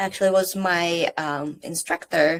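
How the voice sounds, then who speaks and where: A woman with a Czech accent speaks very slowly at a fairly low pitch, in a monotone, flat way. The recording is very clean, with a silent background. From Czech Republic. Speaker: startup founder. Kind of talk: interview.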